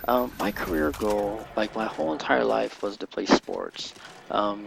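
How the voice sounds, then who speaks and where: Someone with an American accent speaks at a fairly slow pace over noticeable background noise. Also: man. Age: young. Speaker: gamer. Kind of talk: casual chat. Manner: halting, many fillers.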